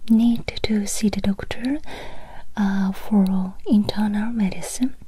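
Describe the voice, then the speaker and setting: A soft-spoken woman talks at a very slow pace with fairly even intonation. Noticeable background noise can be heard. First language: Japanese. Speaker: language teacher. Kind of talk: ASMR language lesson.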